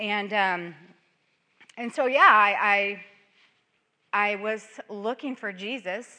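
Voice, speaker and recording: Delivered at a very slow pace with long, frequent pauses, the voice has a bright, sharp tone, big swings in loudness, and fairly even intonation. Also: woman, medium pitch for a woman. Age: 50s. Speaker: conference speaker. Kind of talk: testimony.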